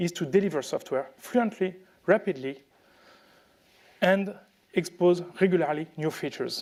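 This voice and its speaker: At a moderate pace, a man speaks with a French accent in a high pitch. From France. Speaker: tech speaker. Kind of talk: conference talk. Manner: halting, many fillers.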